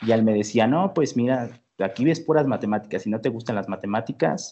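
The man's medium-pitched voice rushes along very fast, rising and falling with ordinary variation. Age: 20s. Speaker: engineering graduate student and music producer. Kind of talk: interview.

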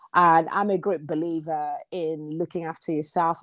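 A woman with an unremarkable speaking voice talks at a fairly low pitch and a moderate pace. The recording is very clean with a silent background and a dry, close sound with no echo. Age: 40s. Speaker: business analyst and content creator. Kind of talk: casual chat.

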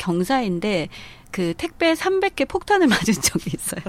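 Very wide pitch swings in a woman's speech, delivered at a moderate speed. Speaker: sex toy shop owner. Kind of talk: casual interview chat.

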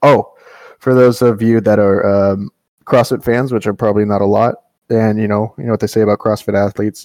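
Speaking at a moderate pace with fairly even intonation, this voice has long, frequent pauses and a dry, close sound with no echo. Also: man. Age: 20s. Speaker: podcast host. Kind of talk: casual chat.

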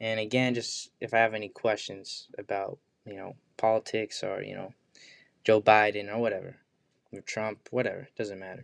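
A man with an American accent, monotone and flat, at a moderate pace over a quiet background. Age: 20s. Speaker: podcast host. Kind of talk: casual monologue. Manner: casual, hesitant.

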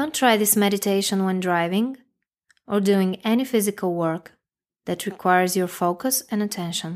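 A woman speaks in a plain, everyday voice at medium pitch with ordinary pitch variation. The recording is very clean and the background silent. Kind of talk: guided meditation. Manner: slow, calm, soothing, gently paced with long pauses; soft-spoken, instructional, addressing the listener directly.

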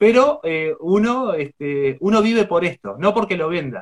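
A man speaks in a Rioplatense accent at a fairly slow pace. His pitch swings very widely. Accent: Argentine Spanish (rioplatense). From Argentina, rural Buenos Aires province. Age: 40s. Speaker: traveling poet. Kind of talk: interview.

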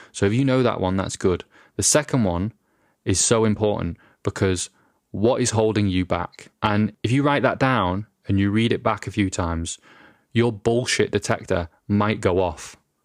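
A man with a British accent, fairly low in pitch, at a moderate pace, with very even loudness and a dry, close sound with no echo. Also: very clean recording, silent background. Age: 30s. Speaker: podcast host, filmmaker. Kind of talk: solo podcast monologue. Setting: home recording in a flat.

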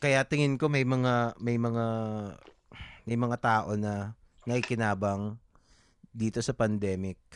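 A man speaks at a very slow pace and medium pitch, with fairly even intonation and long, frequent pauses. The recording is very clean and dry, close with no echo, over a silent background. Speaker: comic artist and podcaster. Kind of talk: casual chat.

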